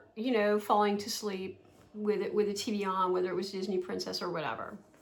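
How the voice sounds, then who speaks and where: A woman speaks in an American accent at a fairly high pitch. Audible room echo surrounds her voice. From New Jersey. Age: 60s. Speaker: vlogger. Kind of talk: casual storytelling vlog. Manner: conversational with fillers.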